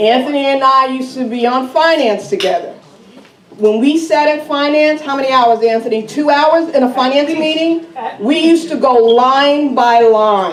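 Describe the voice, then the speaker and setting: With noticeable background noise behind her, a woman with an American accent talks at a moderate pace in a high pitch. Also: ordinary pitch variation. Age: 60s. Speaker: resident speaking at town meeting, former school board member. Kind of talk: public comment at town meeting. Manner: animated.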